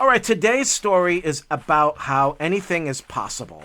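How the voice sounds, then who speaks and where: Recorded very cleanly against a silent background, a man with a high pitch and a bright, sharp tone swings very widely in pitch at a moderate pace. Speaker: hiking vlogger. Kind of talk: casual vlog narration. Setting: outdoors on a hiking trail.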